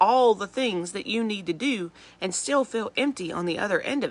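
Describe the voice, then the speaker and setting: This woman talks with fairly high pitch and lively intonation. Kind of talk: devotional talk. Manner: fast; animated.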